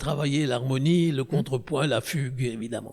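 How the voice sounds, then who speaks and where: A man's fairly high, somewhat breathy voice with fairly even intonation. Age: 90s. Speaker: orchestra conductor. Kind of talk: interview. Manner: halting, with repetitions.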